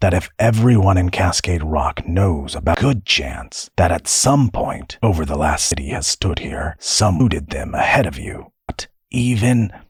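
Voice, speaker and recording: Using a put-on character voice, a man speaks with a very deep, low pitch. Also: moderate pace. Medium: audio drama. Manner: weary, scolding.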